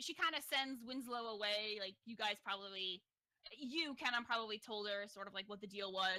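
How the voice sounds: In a natural reading voice with ordinary pitch variation, the speaker reads over a quiet background.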